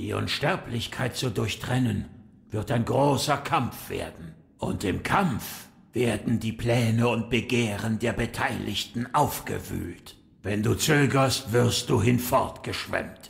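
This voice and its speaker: At a fairly slow pace, a man talks at a medium pitch. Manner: calm, sage-like.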